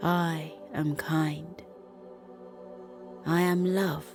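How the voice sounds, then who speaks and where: With music in the background, a woman speaks in a gentle tone. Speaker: bedtime story narrator. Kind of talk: children's sleep meditation. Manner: slow, gentle.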